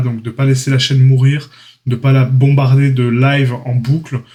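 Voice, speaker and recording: A man at a medium pitch and a moderate pace, in a dark, mellow, somewhat breathy tone. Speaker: 3D art trainer, YouTuber. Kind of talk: casual channel update talk. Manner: hesitant, many fillers.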